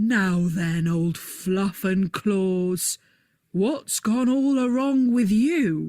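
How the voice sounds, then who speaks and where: Using a put-on character voice, a woman speaks at a very slow pace with a medium pitch. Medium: read story.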